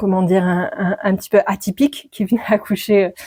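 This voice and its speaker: A woman's dark, mellow tone at medium pitch, fairly quick in pace, with ordinary pitch variation. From France, Dordogne. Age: 40s. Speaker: midwife. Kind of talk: podcast interview. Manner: hesitant, many fillers.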